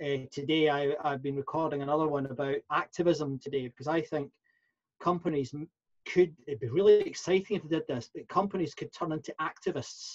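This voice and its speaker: Recorded dry and close with no echo, a man with a Scottish accent talks fairly quickly, somewhat breathy and fairly high-pitched, with fairly even intonation. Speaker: professional speaker and workplace consultant. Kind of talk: interview. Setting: podcast interview. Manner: halting, many fillers and repeats.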